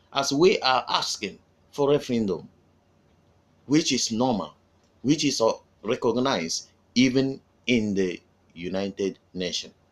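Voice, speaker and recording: The intonation is lively, in a Nigerian accent, with a fairly slow pace. Long, frequent pauses break up the speech on a very clean recording with a silent background. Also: man, medium pitch for a man. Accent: Nigerian Igbo English. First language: Igbo. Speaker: activist video commentator. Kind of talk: political address to followers.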